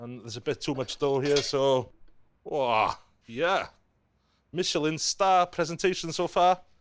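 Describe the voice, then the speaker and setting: In a very clean recording with a silent background, a man with a fairly high pitch and ordinary pitch variation talks at a fairly slow pace, with long, frequent pauses. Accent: Welsh. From North Wales, Caernarfon. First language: Welsh. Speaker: chef. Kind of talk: cooking tutorial. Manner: animated.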